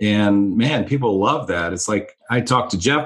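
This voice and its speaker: The speaker is a man. His pitch is fairly low. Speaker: recovery center leader and podcast co-host. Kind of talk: casual interview.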